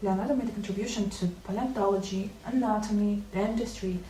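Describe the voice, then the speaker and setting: With music in the background, a woman talks at a moderate pace and medium pitch. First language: not English.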